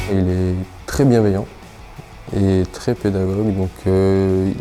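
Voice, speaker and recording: Monotone, flat intonation is heard with music in the background. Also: man. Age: 20s. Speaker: apprentice maintenance technician. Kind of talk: interview. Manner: hesitant, many fillers.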